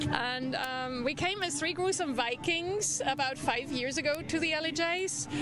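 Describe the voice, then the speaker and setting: Against music in the background and audible room echo, a woman talks in a high pitch with ordinary pitch variation, very even loudness and hardly any pauses. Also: moderate pace. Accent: German. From Germany, Düsseldorf. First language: German. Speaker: distillery owner. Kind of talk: TV interview.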